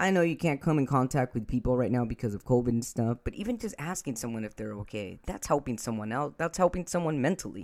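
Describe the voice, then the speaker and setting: With an American accent, a man at a medium pitch talks at a very fast pace with hardly any pauses, lively intonation and a warm, upbeat tone on a very clean recording with a silent background. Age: 40s. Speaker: podcast host and author. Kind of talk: solo podcast intro. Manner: warm, upbeat, conversational.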